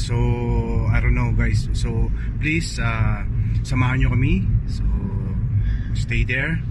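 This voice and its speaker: Amid loud background noise, a man speaks at a fairly slow pace, the sound dry with no echo. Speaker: vlog co-host. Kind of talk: casual vlog chat. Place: car. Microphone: phone near.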